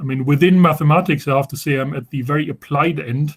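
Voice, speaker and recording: Somewhat breathy and at a fairly quick pace, the speech comes with a German accent and fairly even intonation. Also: man. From Germany. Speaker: professor. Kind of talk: informal talk to students. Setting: video call. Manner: halting, many repetitions and fillers.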